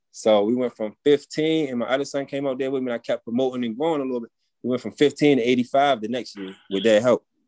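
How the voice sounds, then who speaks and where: Very fast and medium-pitched, a man's dark, mellow voice comes through dry and close with no echo. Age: 30s. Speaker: formerly incarcerated landscaping business owner. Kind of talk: casual interview.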